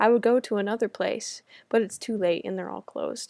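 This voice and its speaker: In a very clean recording with a silent background and a dry, close sound with no echo, a woman with an American accent talks at a fairly quick pace, her dark, mellow tone set at a fairly high pitch with ordinary pitch variation. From United States. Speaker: study-abroad student. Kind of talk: reading aloud personal essay.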